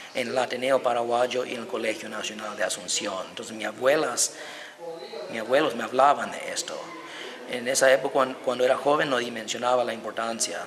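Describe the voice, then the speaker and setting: With an American accent, a man talks at a medium pitch in a monotone, flat intonation over noticeable background noise. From United States. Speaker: historian and violinist. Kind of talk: interview.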